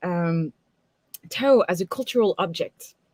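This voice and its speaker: The sound is dry and close with no echo. A woman with a strong French accent swings her pitch very widely. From France. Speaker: tarot reader and teacher. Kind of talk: lecture. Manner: many fillers and hesitations.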